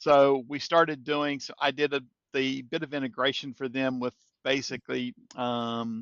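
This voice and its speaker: A man talks with a slight Kentucky accent. His intonation is fairly even. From Kentucky, US. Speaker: software integration expert. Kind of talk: podcast interview.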